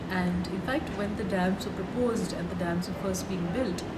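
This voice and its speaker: A woman speaks over loud background noise. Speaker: interviewee. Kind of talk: interview answer. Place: street.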